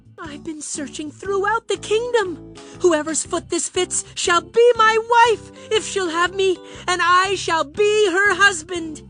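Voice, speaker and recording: A cartoonish character voice is speaking. Clear music plays in the background. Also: fairly slow pace. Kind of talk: comic overacting. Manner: flowery, archaic.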